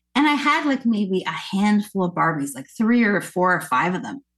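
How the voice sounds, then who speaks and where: Speaking in a Canadian accent, a woman sounds somewhat breathy at a moderate pace. Her pitch swings very widely. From Nova Scotia, Canada. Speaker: singer and actress. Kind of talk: interview conversation.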